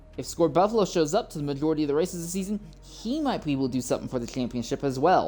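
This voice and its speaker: Music plays in the background as a woman speaks at a fairly low pitch. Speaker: sim racing broadcast host. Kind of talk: live commentary. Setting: livestream. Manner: halting.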